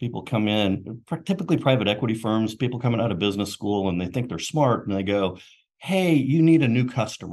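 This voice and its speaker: A man talks fairly quickly in a normal speaking voice at a medium pitch. His intonation is lively, with a quiet background. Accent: American. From US South, Knoxville, Tennessee. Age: 60s. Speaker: marketing executive. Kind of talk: interview.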